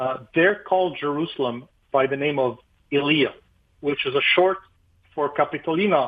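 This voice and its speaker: A man talks at a fairly quick pace with an Arabic accent. His pitch sits fairly high. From Lebanon. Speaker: pastor. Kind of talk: radio interview.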